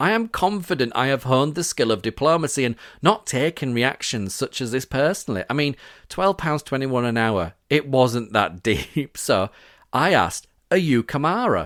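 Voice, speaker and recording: With a Yorkshire accent, a man of medium pitch talks at a moderate pace with very wide pitch swings, in a dry, close sound with no echo on a very clean recording with a silent background. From Yorkshire, northern England. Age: 40s. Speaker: podcast host. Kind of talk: personal testimony narration.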